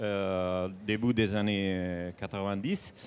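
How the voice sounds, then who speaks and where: Speaking at a very slow pace, a man uses a fairly low pitch with an Italian accent. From Italy. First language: Italian (speaking French). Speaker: comics author. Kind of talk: panel presentation. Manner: halting.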